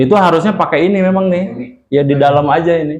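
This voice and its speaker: A man talks loudly at a fairly quick pace. Room echo is audible. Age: old. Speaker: Islamic preacher. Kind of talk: religious lecture with Q&A. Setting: mosque.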